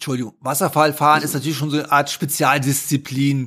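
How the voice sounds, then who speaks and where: A man speaks in a Rhineland accent at a moderate pace. His pitch is fairly high and his intonation fairly even. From Rhineland, Germany (between Düsseldorf and Cologne). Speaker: whitewater kayaker and filmmaker. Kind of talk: casual interview.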